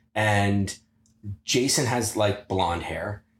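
A somewhat breathy man speaks at a very slow pace and fairly low pitch. His pitch varies in an ordinary way, and the recording is very clean with a silent background. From US Midwest, Ohio (Pickerington, near Columbus). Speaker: former wrestler. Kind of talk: casual chat.

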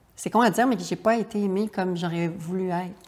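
A woman with an ordinary speaking voice, medium pitch, fairly even intonation and a moderate pace. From Quebec, Charlevoix region. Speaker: writer and actress. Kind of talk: interview.

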